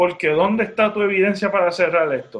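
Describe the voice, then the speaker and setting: At a moderate pace, a man speaks in a Puerto Rican accent. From Puerto Rico. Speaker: podcast host. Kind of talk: solo commentary monologue. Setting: studio. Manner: halting, many fillers.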